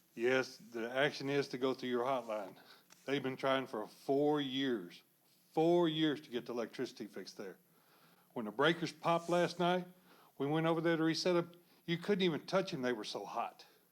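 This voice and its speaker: A man speaks with a Texan accent at a moderate pace, his intonation lively. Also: fairly high pitch for a man. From Texas, Pasadena. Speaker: public commenter, retiree. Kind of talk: public comment at city council. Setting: city council meeting room.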